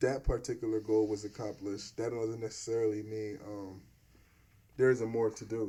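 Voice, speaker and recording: With an American accent, a dark, mellow tone moves at a fairly quick pace with monotone, flat intonation and big swings in loudness, on a very clean recording with a silent background. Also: man, fairly low pitch for a man. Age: 30s. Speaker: podcast host and videographer. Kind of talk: casual interview chat.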